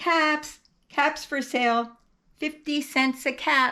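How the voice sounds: A woman's put-on character voice, high-pitched and bright and sharp, with fairly even intonation at a slow pace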